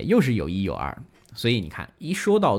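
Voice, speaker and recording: In a very clean recording with a silent background, a man speaks at a fairly quick pace with vocal fry and very wide pitch swings. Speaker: classical music radio host. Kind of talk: live-streamed music talk show with listener interaction. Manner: casual, many filler particles.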